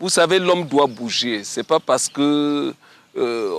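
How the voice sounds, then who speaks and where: A man's fairly high voice at a fairly slow pace, dry and close with no echo. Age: 60s. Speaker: walker and runner. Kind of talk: interview testimony. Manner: halting.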